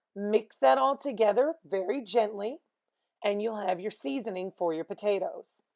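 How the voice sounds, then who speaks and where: Delivered at a moderate pace, the speech has very wide pitch swings. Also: woman. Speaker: home economics teacher. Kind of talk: cooking lesson for students. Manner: clear, instructional.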